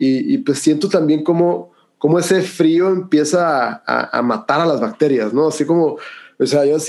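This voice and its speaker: With a plain, everyday voice, a man speaks at a moderate pace, his fairly high pitch showing ordinary pitch variation. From Mexico, Hermosillo, Sonora. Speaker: breathwork and cold exposure instructor. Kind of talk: interview conversation.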